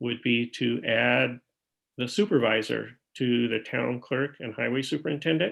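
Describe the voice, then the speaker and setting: This man talks at a fairly slow pace in a medium pitch, his intonation fairly even and touched with vocal fry. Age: 60s. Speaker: town supervisor chairing a board meeting. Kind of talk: public meeting business. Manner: hesitant, many fillers.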